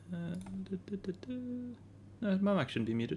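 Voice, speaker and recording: Quiet speech at a moderate pace. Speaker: livestreamer editing his band's drums. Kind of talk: casual livestream while editing audio.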